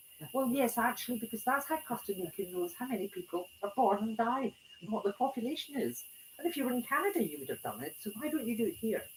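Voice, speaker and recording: Speaking very fast in a Scottish accent, a woman with a high voice swings very widely in pitch amid noticeable background noise. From Scotland. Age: 70s. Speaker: retired club president giving a talk. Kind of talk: talk to a small audience. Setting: small room with audience.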